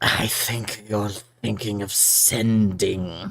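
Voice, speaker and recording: A man puts on a character voice at a fairly low pitch. He speaks at a very slow pace. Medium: actual play. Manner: dry, deadpan.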